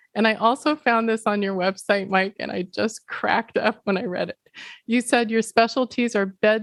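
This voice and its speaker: Here is a woman with an American accent and a normal speaking voice, pitched fairly high. Her intonation stays fairly even against a quiet background. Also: dry, close sound with no echo. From Pacific Northwest United States. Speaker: podcast host. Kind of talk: podcast interview.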